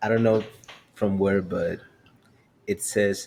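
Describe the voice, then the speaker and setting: This man speaks with a non-native accent. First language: Spanish. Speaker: podcast host. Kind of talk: podcast conversation.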